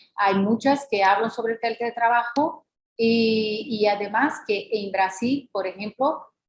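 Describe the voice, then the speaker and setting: With a non-native accent, a woman speaks at a fairly slow pace. Her fairly high voice shows ordinary pitch variation. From Brazil. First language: Portuguese (speaking Spanish). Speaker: law professor. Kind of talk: lecture. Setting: video call. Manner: halting, many fillers.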